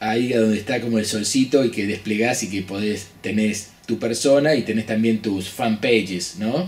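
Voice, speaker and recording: A man with a Rioplatense accent, fairly slow pace, ordinary pitch variation, faint music in the background. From Argentina. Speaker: business consultant; business coach. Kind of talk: lecture; casual chat. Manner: halting. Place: office. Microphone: studio mic.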